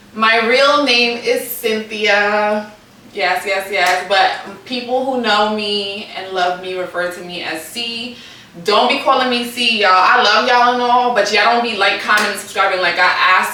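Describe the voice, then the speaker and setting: Someone with an American accent speaks at a moderate pace and with ordinary pitch variation, with noticeable background noise and audible room echo. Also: woman. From New York City (Brooklyn). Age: 30s. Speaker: YouTuber. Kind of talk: casual Q&A video. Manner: animated.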